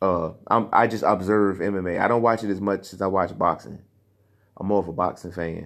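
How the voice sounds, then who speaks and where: Against a quiet background, a man talks at a fairly quick pace. His very deep, low-pitched voice has an animated tone. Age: 30s. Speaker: podcast host. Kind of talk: casual solo commentary.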